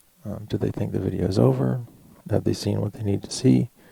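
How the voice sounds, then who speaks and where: This man's fairly low voice has a dark, mellow tone, vocal fry and lively intonation. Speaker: YouTuber. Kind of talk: tutorial.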